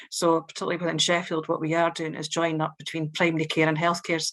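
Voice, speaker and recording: Speaking in a strong Scottish accent, a woman keeps a monotone, flat intonation at a fairly low pitch. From Scotland. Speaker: local government social care director. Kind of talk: panel testimony. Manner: hesitant, many fillers.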